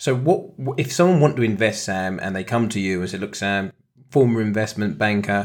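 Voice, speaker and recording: In a British accent, a man talks at a fairly quick pace and fairly low pitch, animated and enthusiastic, with ordinary pitch variation on a very clean recording with a silent background. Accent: British, noticeable. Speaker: co-host, trader and ex-footballer. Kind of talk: casual podcast chat about investing. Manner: animated, enthusiastic.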